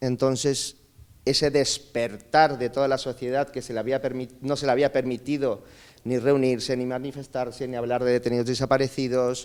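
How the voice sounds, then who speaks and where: Here a man talks in a medium pitch, neither rushing nor dragging. The intonation stays monotone and flat throughout. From Peru (north, then Lima), teens in Chile. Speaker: speaker at a migration conference. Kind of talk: conference talk, personal testimony. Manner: halting, with many fillers.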